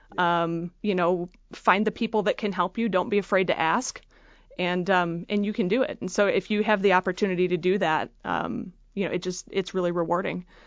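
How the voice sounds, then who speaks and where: A woman talks fairly quickly in an Upper Midwest US accent. Her medium-pitched voice keeps a fairly even intonation. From Michigan, Freeland (near Saginaw). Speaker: university alumni association leader, engineer. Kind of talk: interview. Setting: studio.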